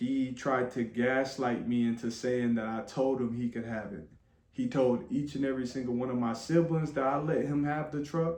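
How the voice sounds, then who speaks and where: With an American accent, a man speaks at medium pitch and moderate pace, his intonation fairly even, with audible room echo. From Flint, Michigan. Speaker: vlogger. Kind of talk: personal testimony. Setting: room with others listening.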